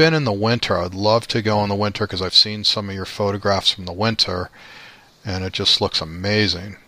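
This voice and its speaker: With a Midwestern accent, a man speaks at a moderate pace and fairly low pitch, with ordinary pitch variation. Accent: American Midwest. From Chicago, US Midwest. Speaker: podcast host, travel photographer. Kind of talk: casual interview.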